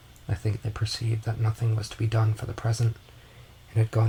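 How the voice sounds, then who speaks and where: Soft-spoken and relaxed in tone, a man talks at a medium pitch against noticeable background noise. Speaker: audiobook narrator. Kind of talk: audiobook reading. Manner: soft-spoken, relaxed.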